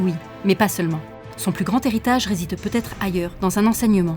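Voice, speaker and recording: Music plays in the background as a woman speaks. Her pace is fairly quick, and her pitch varies in an ordinary way. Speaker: voice actor. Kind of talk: documentary narration.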